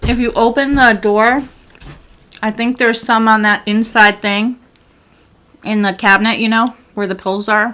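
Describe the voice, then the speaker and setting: Loud and bright, with a sharp tone, a woman speaks at a fairly high pitch in a monotone, flat delivery at a moderate pace, broken by long, frequent pauses. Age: 40s. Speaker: gaming streamer. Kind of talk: casual gameplay commentary.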